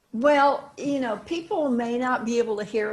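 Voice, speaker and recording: The woman's voice is somewhat breathy. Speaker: songwriter. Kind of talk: interview.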